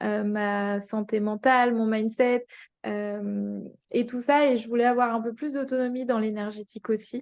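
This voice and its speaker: A woman's fairly high voice, monotone and flat in intonation, at a fairly slow pace. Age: 30s. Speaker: engineer sharing a training testimonial. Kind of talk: testimony interview. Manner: hesitant, many fillers.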